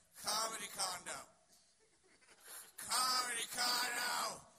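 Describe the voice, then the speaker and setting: A man's put-on character voice at an extremely high pitch, mumbling at a fairly slow pace with fairly even intonation. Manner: barely audible mumbling.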